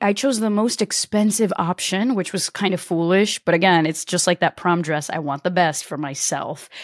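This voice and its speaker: A woman with an American accent has a plain, everyday voice and lively intonation at a moderate pace. The recording is very clean with a silent background and a dry, close sound with no echo. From US Northeast, Connecticut. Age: 30s. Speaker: entrepreneur and YouTuber. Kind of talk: interview.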